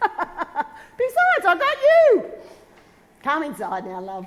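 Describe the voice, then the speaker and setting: Putting on a character voice, a woman squeaks and cackles at an extremely high pitch and a fairly slow pace. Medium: stage play. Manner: crude, cackling, irreverent.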